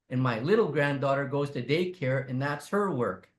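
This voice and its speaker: At a moderate pace, a man speaks with a fairly high pitch. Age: 60s. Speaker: First Nations chief. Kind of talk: webinar talk. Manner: animated.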